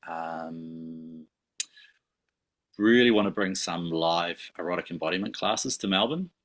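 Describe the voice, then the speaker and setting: Speaking with a New Zealand accent, a man delivers his words at a fairly slow pace in a very deep, low pitch. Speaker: somatic sex educator. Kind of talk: podcast interview. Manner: hesitant, many fillers.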